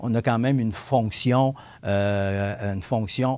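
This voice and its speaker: A man with a dark, mellow tone and a medium pitch speaks at a very slow pace with ordinary pitch variation, in a very clean recording with a silent background. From Quebec, Montmagny. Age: 60s. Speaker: city councillor. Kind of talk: interview. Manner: halting, many repetitions.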